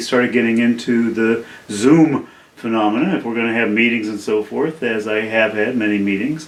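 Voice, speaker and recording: At a moderate pace, a man speaks in a medium pitch. Noticeable background noise and audible room echo surround him. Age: 70s. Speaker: independent filmmaker. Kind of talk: casual video talk about a film project. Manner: halting, many fillers.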